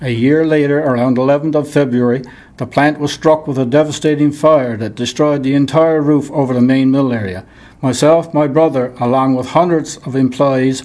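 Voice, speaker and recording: With a Newfoundland accent, a man with a fairly high pitch speaks at a moderate pace in a dark, mellow tone and fairly even intonation. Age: 70s. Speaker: retired miner. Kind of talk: reading aloud.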